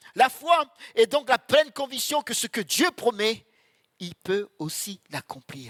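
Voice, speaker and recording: Projecting his voice loudly, a man speaks at an extremely high pitch with a bright, sharp tone and a fairly slow pace, the sound dry and close with no echo. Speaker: preacher. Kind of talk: sermon. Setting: church. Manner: animated.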